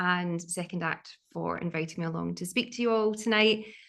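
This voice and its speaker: A woman's medium-pitched voice with a bright, sharp tone and a Glaswegian accent, at a moderate pace over a quiet background. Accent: Glaswegian Scottish. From Scotland, Glasgow area. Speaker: art historian and curator. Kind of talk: online talk.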